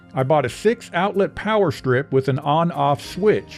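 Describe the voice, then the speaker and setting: Music plays in the background. A man with fairly high pitch speaks at a fairly slow pace. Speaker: home music hobbyist. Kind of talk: tutorial narration. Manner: dry, joking.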